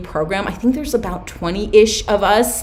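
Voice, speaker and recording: A woman talks at a fairly quick pace with ordinary pitch variation. Noticeable background noise and audible room echo surround her voice. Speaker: Etsy seller and business coach. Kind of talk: live stream Q&A workshop. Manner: fast.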